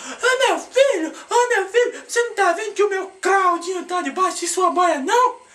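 A put-on character voice shouting at an extremely high pitch, moderate pace and hardly any pauses. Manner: shouting, rude.

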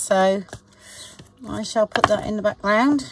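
Speaking at a fairly slow pace with ordinary pitch variation, a woman is heard over noticeable background noise in a dry sound with no echo. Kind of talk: casual tutorial chat. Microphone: camera far.

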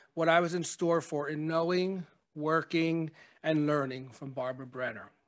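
Pitched high with ordinary pitch variation, a man talks at a moderate pace. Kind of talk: memorial speech. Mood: warm, reflective. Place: hall. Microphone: podium.

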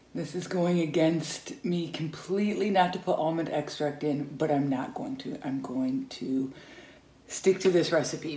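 With audible room echo, a woman speaks at a fairly slow pace in a very deep, low pitch with ordinary pitch variation. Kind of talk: casual cooking tutorial. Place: kitchen. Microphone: phone near.

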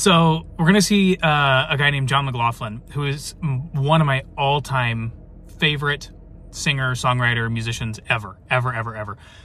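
A man speaks at a moderate pace in a bright, sharp tone with ordinary pitch variation. The sound is dry with no echo. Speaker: family vlogger. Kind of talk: casual vlog chat. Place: car. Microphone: phone near.

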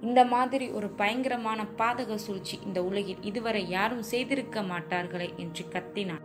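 A woman with a fairly high pitch talks over music in the background. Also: ordinary pitch variation. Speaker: college student. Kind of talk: audiobook novel reading.

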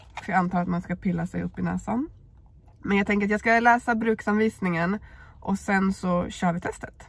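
At a medium pitch and moderate pace, a woman speaks. Her voice is somewhat breathy. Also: fairly even intonation. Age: 30s. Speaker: YouTuber. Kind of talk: vlog. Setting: in a car.

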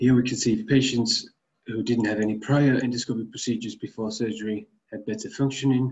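A man talks at a moderate pace in a medium pitch, somewhat breathy and with fairly even intonation. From Finland, Tampere. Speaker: medical researcher. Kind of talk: conference presentation. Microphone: webcam.

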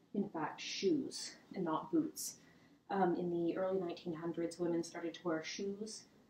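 At a fairly slow pace, the voice shows ordinary pitch variation, with audible room echo and light background noise. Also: woman. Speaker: historical fashion presenter. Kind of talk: casual talk to camera. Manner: hesitant, casual with fillers. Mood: cheerful, amused. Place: home room. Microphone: camera far.

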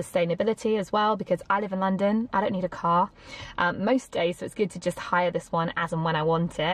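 At a very fast pace, a woman delivers the words. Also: dry sound with no echo. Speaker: travel vlogger. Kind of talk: casual vlog chat. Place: car. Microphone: phone near.

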